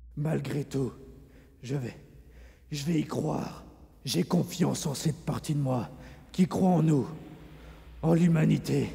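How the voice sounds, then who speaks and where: A cartoonish character voice at a low-to-middle pitch, with long, frequent pauses. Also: fairly slow pace. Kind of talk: anime fandub.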